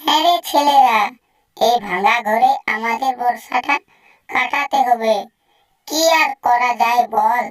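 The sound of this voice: In a cartoonish character voice, a female-sounding voice projects loudly at a high pitch. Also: fairly slow pace.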